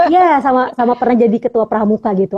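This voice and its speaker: A woman talks at a fairly quick pace with ordinary pitch variation and a dark, mellow tone, recorded with a dry, close sound and no echo. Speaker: poetry recitation champion. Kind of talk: casual interview. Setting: live video stream.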